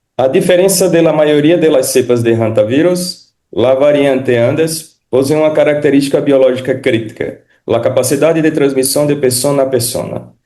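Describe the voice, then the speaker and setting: A man with a Portuguese accent, fairly high in pitch, with ordinary pitch variation, very even loudness and hardly any pauses. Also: moderate pace. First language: Portuguese (speaking Spanish). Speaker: physician. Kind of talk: lecture. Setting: video call. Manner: formal.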